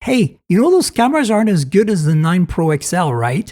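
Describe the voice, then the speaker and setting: A man's high-pitched put-on character voice. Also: fairly quick pace. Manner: tempting, mischievous.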